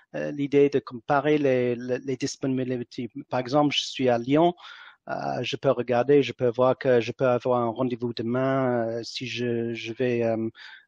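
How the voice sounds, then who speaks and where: At a fairly slow pace, a man with an English accent speaks at medium pitch with fairly even intonation. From England. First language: English (speaking French). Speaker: entrepreneur. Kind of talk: interview. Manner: halting, many fillers and repetitions.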